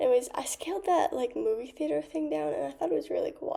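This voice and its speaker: A woman is speaking. Her voice is quiet. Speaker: gaming youtuber. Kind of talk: gameplay commentary. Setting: dorm common room. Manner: halting. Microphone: laptop mic.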